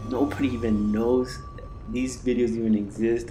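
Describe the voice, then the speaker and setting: Talking at a moderate pace, a man uses an American accent. His medium pitch carries fairly even intonation. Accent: Mexican American. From Texas, Mexican American. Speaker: gaming YouTuber. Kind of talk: gameplay commentary. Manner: casual, rambling with fillers.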